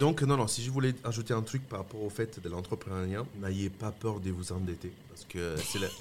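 With music in the background, a man speaks at a moderate pace and a fairly low pitch. He has hardly any pauses and ordinary pitch variation. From Italy, Lombardy (Mantua). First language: Italian (speaking French). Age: 30s. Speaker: restaurateur and chef. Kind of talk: casual interview.

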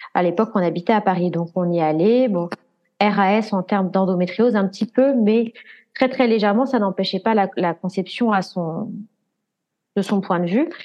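The speech moves at a moderate pace with ordinary pitch variation, broken by long, frequent pauses. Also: woman, medium pitch for a woman. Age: 20s. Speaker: patient sharing fertility journey. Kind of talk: casual interview.

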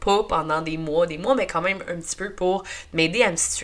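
With noticeable background noise behind her, a woman speaks in a Quebec accent at a moderate pace, her fairly low voice animated in tone with ordinary pitch variation. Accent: Québécois French. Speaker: podcast host. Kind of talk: personal testimony monologue.

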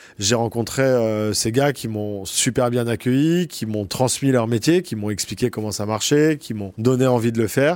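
At a moderate pace and medium pitch, a man talks with hardly any pauses and ordinary pitch variation. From Paris region, France (Boulogne). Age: 40s. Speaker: photojournalist. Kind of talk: interview. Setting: office. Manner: hesitant, frequent fillers.

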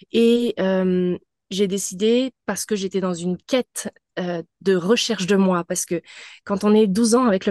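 Ordinary pitch variation in a dry, close sound with no echo, over a quiet background. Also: woman. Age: 30s. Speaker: spiritual mentor. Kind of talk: casual interview, personal testimony.

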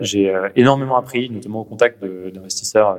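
Speaking at a moderate pace in a normal speaking voice, a man keeps his fairly low pitch at a fairly even intonation. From Paris, France. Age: 30s. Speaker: venture capital investor. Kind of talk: interview.

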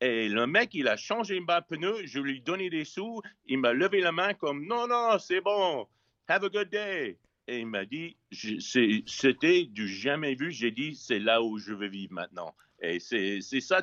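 Speaking very slowly with an English accent, a man has a fairly high voice with a bright, sharp tone and very wide pitch swings, in a dry, close sound with no echo and a quiet background. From US West Coast, Los Angeles. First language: English (speaking French). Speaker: chef. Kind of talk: casual interview. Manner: halting, many repetitions.

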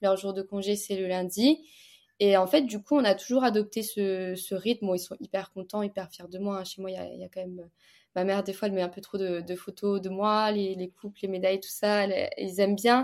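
A plain, everyday voice moves at a fairly quick pace with fairly even intonation and big swings in loudness. The recording is very clean, with a silent background. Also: woman. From eastern France, Montbéliard area. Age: 20s. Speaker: fencer and entrepreneur. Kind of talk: casual interview.

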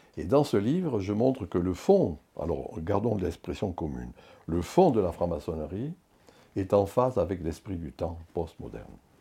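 A man with a very deep, low pitch and a dark, mellow, somewhat breathy tone speaks at a fairly slow pace with lively intonation. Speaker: sociologist, professor emeritus. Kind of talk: interview. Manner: halting.

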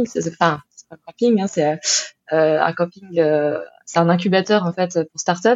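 With a normal speaking voice, this woman speaks at a medium pitch. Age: 30s. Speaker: entrepreneur, former wedding planner. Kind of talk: interview.

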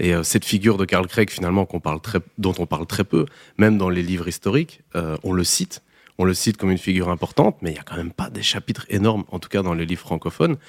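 A man's very deep, low voice at a very fast pace, with ordinary pitch variation on a very clean recording with a silent background. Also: dry, close sound with no echo. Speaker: podcast co-host. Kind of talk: scripted narration; casual chat.

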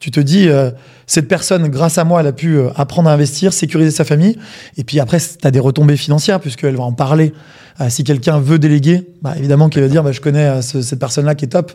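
Very fast and somewhat breathy, a man speaks in a dark, mellow tone at fairly high pitch. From provincial France. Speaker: podcast co-host. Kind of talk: interview.

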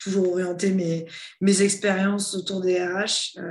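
A woman speaks at a fairly low pitch. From southern France (near Toulon). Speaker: head of human resources. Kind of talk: interview.

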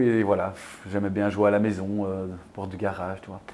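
Using a plain, everyday voice, a man with fairly low pitch speaks at a fairly quick pace. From Belgium. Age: 30s. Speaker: field hockey player. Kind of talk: casual chat.

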